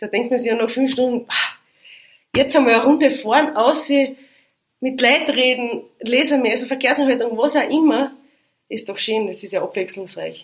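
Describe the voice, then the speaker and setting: A woman speaks at a moderate pace with a high pitch and ordinary pitch variation. Her speech has long, frequent pauses. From Austria, Styria (Liezen). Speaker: police commander. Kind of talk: casual interview.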